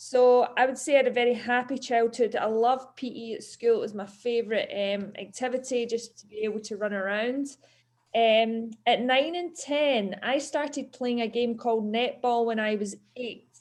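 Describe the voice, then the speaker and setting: Quiet surroundings frame a woman's high-pitched voice with a Scottish accent. She keeps a moderate pace and fairly even intonation. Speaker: PE teacher. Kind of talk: talk to schoolchildren.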